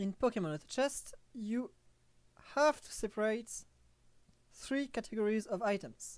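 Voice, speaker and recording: Speaking fairly slowly with a French accent, a woman uses lively intonation. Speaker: gaming streamer. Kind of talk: tutorial. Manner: halting, with frequent fillers.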